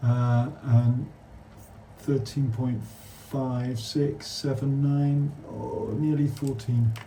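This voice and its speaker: With a British accent, a man speaks at a medium pitch and a very slow pace. His intonation is monotone and flat, and audible room echo surrounds the voice. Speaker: damp surveyor. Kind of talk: on-site survey walkthrough with client.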